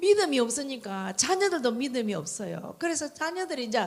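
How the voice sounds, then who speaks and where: A woman with a strong Gyeongsang accent and very wide pitch swings. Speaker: church member giving testimony. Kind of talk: testimony.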